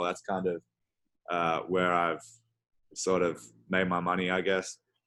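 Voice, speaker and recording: With an Australian accent, a man speaks at a moderate pace in a very deep, low pitch, his tone bright and sharp. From Australia, Adelaide. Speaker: professional basketball player. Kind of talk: casual interview.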